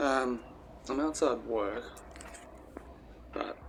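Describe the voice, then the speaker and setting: Against noticeable background noise, a soft-spoken man talks with an Australian accent. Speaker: vlogger. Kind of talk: casual vlog monologue. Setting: outdoors. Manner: halting.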